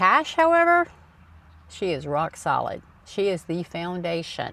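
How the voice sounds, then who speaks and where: On a very clean recording with a silent background, a woman with a Southern US accent speaks at a fairly slow pace. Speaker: personal finance YouTuber. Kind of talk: casual talk to camera. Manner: casual.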